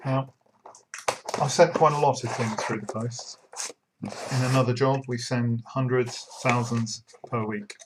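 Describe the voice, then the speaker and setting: A man's medium-pitched voice, fairly even in intonation, at a fairly slow pace with long, frequent pauses. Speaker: online miniatures business owner. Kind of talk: casual talk to camera. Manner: monotone.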